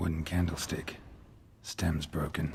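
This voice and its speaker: Using a put-on character voice, a man speaks at a fairly slow pace with a very deep, low pitch and monotone, flat intonation over clear background noise. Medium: video game. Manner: terse, flat, deadpan.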